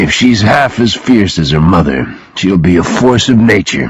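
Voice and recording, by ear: A man puts on a gruff character voice, very deep and low in pitch. His pitch swings very widely as he speaks at a moderate pace.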